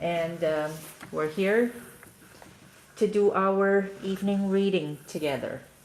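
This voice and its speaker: With a Chinese accent, a woman speaks at a very slow pace in a medium-pitched voice with ordinary pitch variation, long, frequent pauses and noticeable background noise. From China. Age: 40s. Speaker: parent live streamer. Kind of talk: casual chat. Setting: live stream at home.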